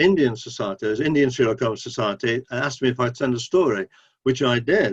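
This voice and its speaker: The speaker has an English accent and ordinary pitch variation, recorded with a dry, close sound and no echo. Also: man. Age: 70s. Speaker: author. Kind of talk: interview.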